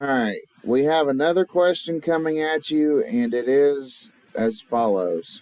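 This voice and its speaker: A man with a plain, everyday voice speaks at a fairly slow pace, his fairly high pitch carried by lively intonation. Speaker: game show host. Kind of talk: game show host announcing questions.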